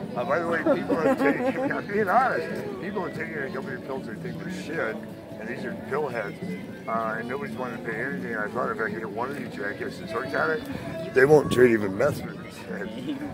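Fairly quick speech from a man, big swings in loudness, dry sound with no echo and loud background noise. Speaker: voice-over artist. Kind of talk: heated casual confrontation, self-recorded. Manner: angry, blunt. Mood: agitated, confrontational. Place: street. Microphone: phone near.

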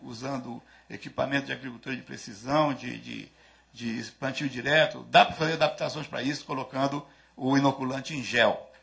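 A man with a fairly high voice and vocal fry, fairly even intonation, a moderate pace, and a quiet background. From Brazil. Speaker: agricultural research coordinator; conference speaker. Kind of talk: lecture. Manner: halting. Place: hall. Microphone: podium.

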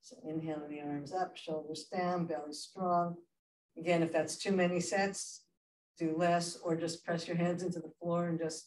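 At a moderate pace, a woman with a fairly low voice speaks in fairly even intonation, with audible room echo and light background noise. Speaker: yoga instructor. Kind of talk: guided chair yoga class, spoken cues. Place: hall. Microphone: camera far.

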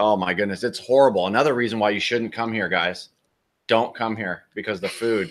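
A man with an American accent talks at a fairly quick pace, his fairly low pitch showing ordinary pitch variation. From United States. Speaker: RV travel vlogger; travel vlogger host. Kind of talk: live stream Q&A. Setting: outdoors. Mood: joking, animated. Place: home room.

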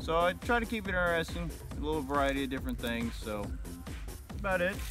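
A man talks at a fairly quick pace. Clear music plays behind him, and the sound is dry with no echo. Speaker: interview guest. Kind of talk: interview answer. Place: forest.

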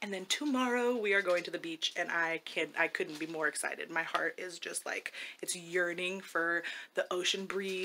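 Over light background noise, a woman speaks at a moderate pace with a bright, sharp tone. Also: ordinary pitch variation. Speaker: family vlogger. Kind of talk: casual vlog chat. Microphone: phone near.

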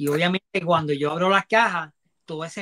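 A man speaks with a bright, sharp tone. The background is quiet. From Ponce, Puerto Rico; Puerto Rico. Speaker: toy collector and salesman; interview guest. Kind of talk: live-stream interview. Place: home room. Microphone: earbuds.

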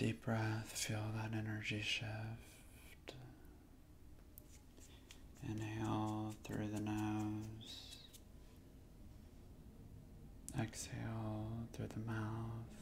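Soft-spoken, a man talks at a very slow pace with long, frequent pauses. There is light background noise. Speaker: breathing or meditation guide. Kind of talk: guided breathing instruction. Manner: soft, hushed ASMR guiding voice. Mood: calm, soothing. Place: home room.

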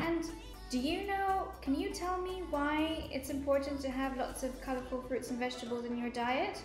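Moderate pace and ordinary pitch variation, with audible room echo and clear music in the background. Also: woman. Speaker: kids' club cooking host. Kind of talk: tutorial. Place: kitchen. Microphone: camera far.

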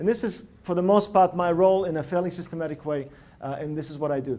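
With an animated tone and lively intonation, a man talks at a fairly quick pace. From Russia (Leningrad), emigrated. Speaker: innovation consultant and speaker. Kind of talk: TEDx-style talk. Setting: stage with live audience. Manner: animated, interactive. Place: hall. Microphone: lapel.

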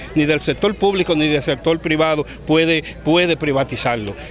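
Over light background noise, a man with a high pitch talks at a moderate pace with fairly even intonation, the sound dry with no echo. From Dominican Republic. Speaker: community advocate; protest spokesperson. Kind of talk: protest speech. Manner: formal. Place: beach. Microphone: handheld.

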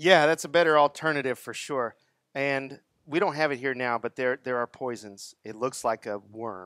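In a Texas accent, a man speaks at a moderate pace with ordinary pitch variation and a dry sound with no echo. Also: medium pitch for a man, quiet background. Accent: Texas twang. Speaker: product distributor sales rep. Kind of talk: seminar presentation to audience. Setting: live audience at garden center event. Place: garden. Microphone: headset.

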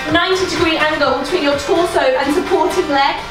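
A woman with an extremely high voice speaks at a moderate pace, with audible room echo and clear music in the background. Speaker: fitness instructor. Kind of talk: workout instruction. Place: home room.

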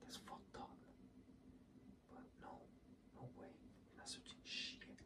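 A man whispers, soft-spoken, at a fairly slow pace over loud background noise. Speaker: streamer. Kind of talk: casual stream chat, storytelling. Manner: soft close-mic ASMR whisper. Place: home room.

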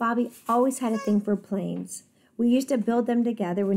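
What we hear is plain reading aloud.

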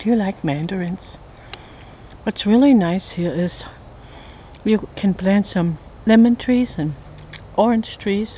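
At a fairly slow pace with long, frequent pauses, a woman speaks with ordinary pitch variation in a dry sound with no echo and light background noise. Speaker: home gardener vlogger. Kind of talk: casual vlog chat. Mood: cheerful, playful. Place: forest. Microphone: phone near.

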